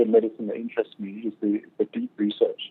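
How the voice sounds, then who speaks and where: A man at medium pitch, monotone and flat in intonation, at a fairly quick pace. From Great Britain. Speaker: naturopathic doctor. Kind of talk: interview.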